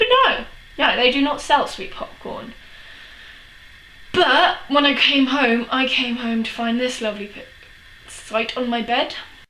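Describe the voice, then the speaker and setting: A high-pitched woman with a London accent speaks fairly slowly with long, frequent pauses and big swings in loudness, amid noticeable background noise and audible room echo. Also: ordinary pitch variation. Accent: English, Chelsea London. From England, London. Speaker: vlogger. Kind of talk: casual vlog. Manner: animated.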